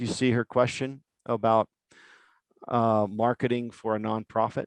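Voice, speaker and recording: Monotone, flat intonation comes through in a dry, close sound with no echo. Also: man, medium pitch for a man. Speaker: web design agency founder giving a talk. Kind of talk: webinar presentation with Q&A. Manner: fast.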